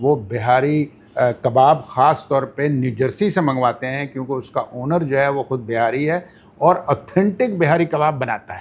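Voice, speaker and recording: A man uses an ordinary speaking voice at a fairly high pitch, with ordinary pitch variation. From Pakistan, Karachi. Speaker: podcast guest. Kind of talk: interview.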